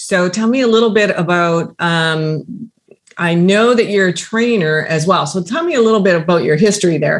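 A woman speaks with an ordinary speaking voice at a medium pitch, her intonation lively. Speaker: podcast host. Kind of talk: interview.

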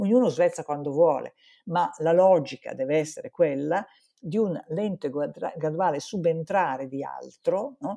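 Speech with a dark, mellow tone unfolds at a fairly slow pace. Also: woman, fairly low pitch for a woman, ordinary pitch variation. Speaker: psychologist. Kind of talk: interview.

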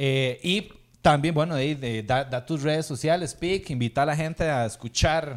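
A man with a Costa Rican accent at a fairly high pitch and fairly slow pace, with ordinary pitch variation, in a very clean recording with a silent background. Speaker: podcast host and musician. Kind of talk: casual chat.

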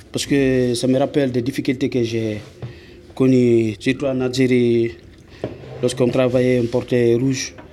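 A man's medium-pitched, monotone, flat delivery at a fairly slow pace with long, frequent pauses, over noticeable background noise. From Guinea. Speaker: asylum seeker. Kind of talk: interview. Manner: halting.

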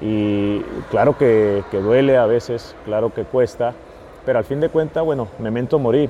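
A man talks fairly slowly at a medium pitch with ordinary pitch variation. There is noticeable background noise. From US-Mexico border, San Luis, Arizona. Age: 30s. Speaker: football fitness coach. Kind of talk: casual interview. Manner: halting, many fillers and repeats.

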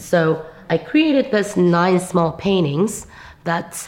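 A woman with a Korean accent at a very slow pace and a fairly low pitch. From South Korea. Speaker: visual artist. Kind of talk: interview. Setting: gallery.

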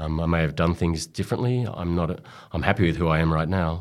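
A man with an Australian accent speaks at a fairly quick pace in a very deep, low pitch with fairly even intonation, on a very clean recording with a silent background. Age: 50s. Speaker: sports doctor. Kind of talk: interview. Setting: studio. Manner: halting.

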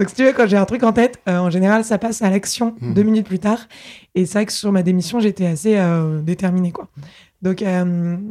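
Ordinary pitch variation at a fairly quick pace, a dark, mellow tone, and long, frequent pauses. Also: woman, medium pitch for a woman. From Paris, France. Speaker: startup founder and CEO. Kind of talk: interview. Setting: at her home.

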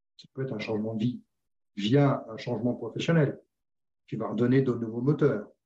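Somewhat breathy and dark, mellow in tone, a man talks at a moderate pace with ordinary pitch variation. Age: 60s. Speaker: retired sales director. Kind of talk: interview conversation. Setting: video call.

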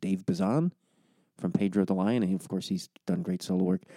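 Quiet and fairly quick, the voice has a dark, mellow tone and a dry, close sound with no echo. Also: man. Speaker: podcast host. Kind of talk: podcast intro monologue. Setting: home recording. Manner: hushed, quiet.

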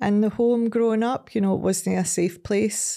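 A woman's dark, mellow tone with a west of Scotland accent. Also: very clean recording, silent background. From Scotland, Ayrshire (Ardrossan, Saltcoats). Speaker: recovery charity chief executive. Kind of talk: casual interview.

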